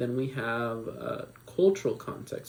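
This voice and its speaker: Here is a man with an American accent at medium pitch. His voice is somewhat breathy. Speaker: student presenter. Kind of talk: class presentation.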